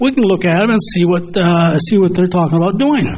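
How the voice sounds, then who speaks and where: Over noticeable background noise and audible room echo, a man talks at a moderate pace. His intonation is lively. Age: 70s. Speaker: resident speaking at public comment. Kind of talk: public comment at board meeting. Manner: halting.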